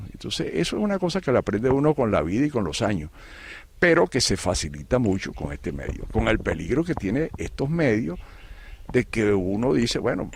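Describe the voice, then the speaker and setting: A man's voice moves at a fairly quick pace with very wide pitch swings. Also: medium pitch for a man. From Venezuela. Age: 70s. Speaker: retired educator and writer. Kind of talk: interview. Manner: halting, many repetitions.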